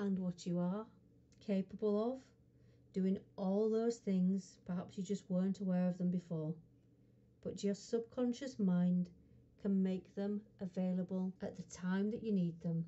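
Somewhat breathy and soothing, a woman speaks in a calm tone at a medium pitch and a fairly slow pace, with fairly even intonation. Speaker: hypnotherapist. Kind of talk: hypnosis guided relaxation session. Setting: studio recording. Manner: slow, soothing, calm.

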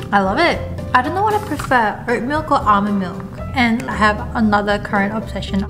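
Music is clearly audible behind a woman who is talking. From South Korea. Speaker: office worker vlogger. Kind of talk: casual talk to camera. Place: office.

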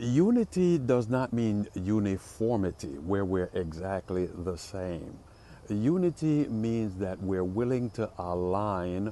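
A man's dark, mellow tone at a fairly low pitch and a very slow pace, dry with no echo, over light background noise. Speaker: pastor. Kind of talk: short devotional sermon. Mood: warm, encouraging. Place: street. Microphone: earbuds.

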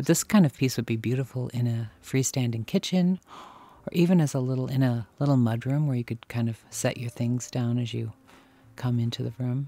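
A somewhat breathy man at a fairly quick pace, ordinary pitch variation, dry sound with no echo. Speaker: vlogger browsing antiques. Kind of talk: casual vlog chat. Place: shop. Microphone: phone near.

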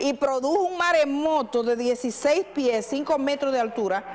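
A woman speaks with a high pitch and ordinary pitch variation. Noticeable background noise can be heard. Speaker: journalist, radio/TV host. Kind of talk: live call-in show host.

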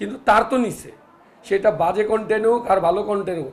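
A high-pitched man with ordinary pitch variation. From Bangladesh, urban. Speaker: film producer. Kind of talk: media interview. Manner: animated.

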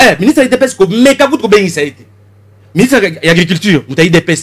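Speaking at a fairly quick pace, a man swings his pitch very widely. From DR Congo. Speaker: member of parliament; guest. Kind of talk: political interview. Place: studio. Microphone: studio mic.

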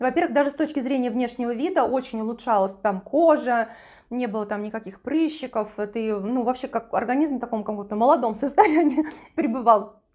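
Against a quiet background, a woman talks at a fairly quick pace and a high pitch with ordinary pitch variation. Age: 40s. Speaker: beauty and lifestyle video blogger; lifestyle video blogger. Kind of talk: personal testimony to camera; product recommendation. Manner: casual, with frequent filler hesitations. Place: kitchen. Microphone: lapel.

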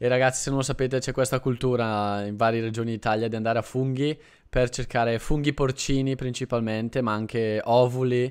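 Against a quiet background, a man speaks in a monotone with flat intonation. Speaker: Italian teacher, channel host. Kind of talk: conversational interview host. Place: home room. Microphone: studio mic.

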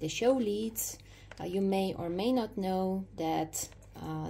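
Over light background noise, a woman with a dark, mellow tone and a fairly low pitch speaks at a fairly slow pace. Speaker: dog owner vlogger. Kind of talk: casual vlog chat. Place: home room.

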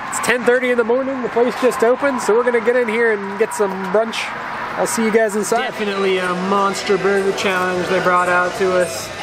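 A man speaks at a fairly quick clip against loud background noise. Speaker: food challenge vlogger. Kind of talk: casual vlog chat. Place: street. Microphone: phone near.

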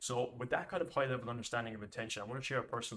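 The man's intonation stays fairly even. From Ireland. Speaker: business coach. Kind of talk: monologue tutorial to camera. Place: home room.

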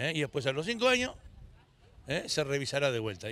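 A man's bright, sharp tone in a dry sound with no echo. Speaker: local official (mayor). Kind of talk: press scrum interview answer. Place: street. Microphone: handheld.

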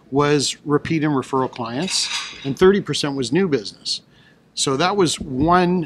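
A man speaks at a fairly slow pace with ordinary pitch variation. Noticeable background noise runs underneath. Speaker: guest. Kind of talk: interview answer. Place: hall. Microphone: studio mic.

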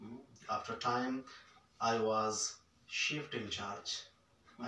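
A man speaks at a moderate pace amid audible room echo and light background noise. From Pakistan, rural Punjab (Khanewal); Punjab, Pakistan. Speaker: entrepreneur and business mentor; guest. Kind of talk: fireside chat interview. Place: hall.

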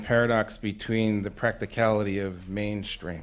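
His pace is moderate. This man has an American accent. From Massachusetts. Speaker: Baptist minister and foundation program director; Baptist minister. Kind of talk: panel discussion. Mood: thoughtful, earnest. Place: stage. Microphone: studio mic.

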